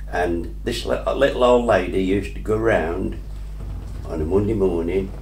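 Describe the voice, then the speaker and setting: A man talks at a moderate pace, his voice carrying audible room echo and noticeable background noise. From English Midlands, Atherstone, Warwickshire. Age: 80s+. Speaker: local resident sharing memories. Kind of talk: oral history interview. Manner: hesitant, with fillers.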